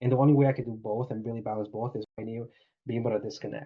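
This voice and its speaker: A man at a very fast pace, somewhat breathy. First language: not English. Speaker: remote appointment setter, former barista. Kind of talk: interview.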